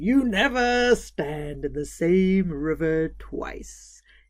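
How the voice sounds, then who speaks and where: A woman does a put-on character voice with a fairly low pitch. She speaks very slowly, and her pitch swings very widely. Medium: read story. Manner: gentle, warm.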